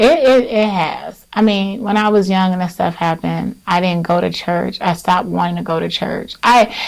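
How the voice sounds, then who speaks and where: Soft-spoken, a woman talks at a moderate pace with hardly any pauses and ordinary pitch variation, against noticeable background noise. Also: medium pitch for a woman. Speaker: author and entrepreneur. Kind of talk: interview conversation.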